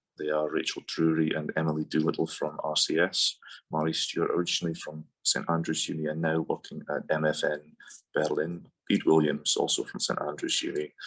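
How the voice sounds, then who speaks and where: A man talks with a northeast Scottish accent. His pace is fairly quick. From northeast Scotland, Portsoy. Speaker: doctoral student. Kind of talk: academic presentation. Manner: hesitant, with filler sounds.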